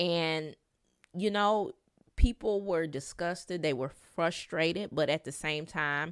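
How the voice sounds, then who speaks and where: In a very clean recording with a silent background, a woman with a Detroit accent speaks at a very slow pace, her pitch fairly low with ordinary variation. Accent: Midwestern US (Detroit). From Detroit, Michigan. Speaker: podcast host. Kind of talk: solo podcast monologue.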